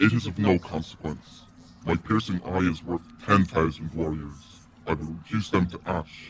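A man puts on a character voice with a very deep, low pitch. He talks at a moderate pace. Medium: read story. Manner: boastful, grim, blunt.

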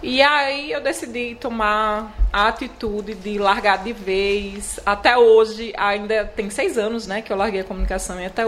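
A woman with fairly even intonation amid noticeable background noise. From Alagoas interior, Palmeira dos Índios. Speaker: chocolatier. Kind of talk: interview.

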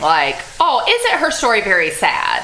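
Over noticeable background noise and audible room echo, a woman with an American accent speaks at a fairly slow pace in a raised, projected voice. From US Gulf Coast. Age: 40s. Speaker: podcast host. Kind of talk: casual chat.

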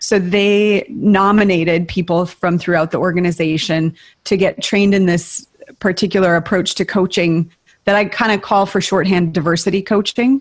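At a moderate pace, a woman talks in a plain, everyday voice, medium in pitch, with fairly even intonation. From US Midwest (northern Minnesota). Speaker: retreat leader and coach. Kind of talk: casual interview.

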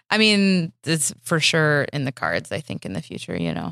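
A woman with an American accent and vocal fry speaks at a moderate pace and a very deep, low pitch with very wide pitch swings, the sound dry and close with no echo. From Michigan. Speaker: comedy festival producer. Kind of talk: casual interview. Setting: podcast studio.

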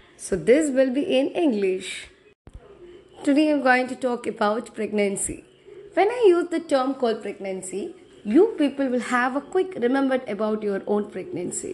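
With a Tamil accent, a woman speaks at a moderate pace in a high voice. Her pitch swings very widely over noticeable background noise. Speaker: podcaster. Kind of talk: solo podcast monologue. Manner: halting.

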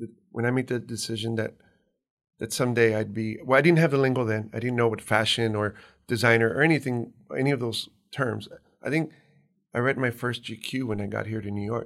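A man with an American accent speaks at a fairly quick pace in a medium pitch, his intonation fairly even. He takes long, frequent pauses, and the recording is very clean with a silent background. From US-Mexico border, Hidalgo County, Texas. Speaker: fashion designer. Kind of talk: interview.

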